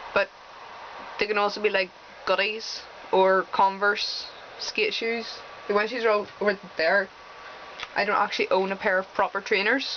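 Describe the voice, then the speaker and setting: Over noticeable background noise, a woman talks at medium pitch in a monotone, flat intonation with long, frequent pauses. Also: moderate pace. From Northern Ireland. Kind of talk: casual talk to camera.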